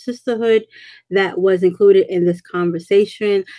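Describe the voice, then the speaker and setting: A woman with a New York accent, medium in pitch and dark, mellow in tone, in a dry, close sound with no echo. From US Northeast, Brooklyn. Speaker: women's ministry speaker. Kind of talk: panel discussion. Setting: live stream.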